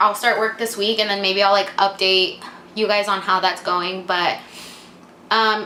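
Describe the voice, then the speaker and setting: Her voice sits at a medium pitch, and she talks at a moderate pace with fairly even intonation. Audible room echo and noticeable background noise surround this woman. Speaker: vlogger and English teacher. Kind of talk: casual vlog Q&A.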